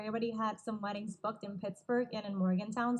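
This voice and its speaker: A woman with a Puerto Rican accent speaks at a fairly quick pace in a fairly high pitch. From Puerto Rico. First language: Spanish. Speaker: wedding videographer. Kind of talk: casual interview.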